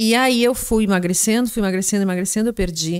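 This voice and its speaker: A woman with a normal speaking voice talks at medium pitch with ordinary pitch variation. The recording is very clean with a silent background and a dry, close sound with no echo. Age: 50s. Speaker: gynecologist. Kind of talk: interview, medical explanation.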